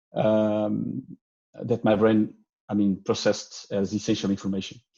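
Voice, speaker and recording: A man speaks with a dark, mellow tone. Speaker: research grant holder sharing experience. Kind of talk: conference talk. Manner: halting, many fillers.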